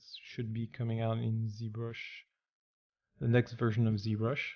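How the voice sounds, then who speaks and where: A man's medium-pitched voice with a French accent. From France. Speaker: 3D artist. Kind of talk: tutorial. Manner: halting, many fillers.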